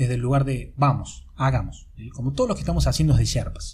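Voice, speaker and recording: A man with vocal fry and a dark, mellow tone talks fairly quickly at a medium pitch. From Argentina, Córdoba. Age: 30s. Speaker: life coach. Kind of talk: podcast monologue. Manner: halting, many repetitions and fillers. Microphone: amateur recording, poor sound quality.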